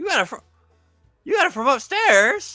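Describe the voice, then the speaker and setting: A man puts on a character voice at a moderate pace. Faint music plays in the background. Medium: actual play.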